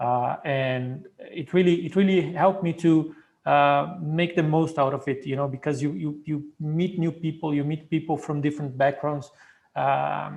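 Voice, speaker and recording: A man with a Portuguese accent, fairly high pitch, fairly even intonation and a somewhat breathy voice at a moderate pace over a quiet background. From Brazil. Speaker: PhD program alumnus. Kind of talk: Q&A panel answer. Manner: hesitant, many fillers.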